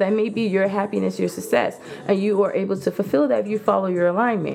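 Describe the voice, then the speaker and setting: An animated woman's voice over noticeable background noise. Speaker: podcast host. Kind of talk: casual monologue. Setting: home video recording.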